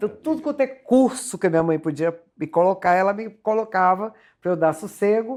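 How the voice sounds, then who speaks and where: At a moderate pace, a dark, mellow voice moves through very wide pitch swings on a very clean recording with a silent background. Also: woman. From Rio de Janeiro state, Resende. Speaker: singer. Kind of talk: TV interview. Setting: TV studio.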